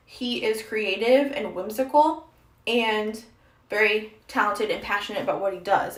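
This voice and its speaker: A woman speaks at a moderate pace in a fairly high pitch with ordinary pitch variation, and there is noticeable background noise along with audible room echo. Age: young. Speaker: streamer. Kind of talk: casual chat. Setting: livestream while doing makeup.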